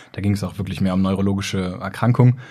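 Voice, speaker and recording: A man is speaking. His tone is dark and mellow. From northern Germany, Braunschweig. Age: 30s. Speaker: neurologist and YouTuber. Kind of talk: casual interview. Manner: hesitant with fillers.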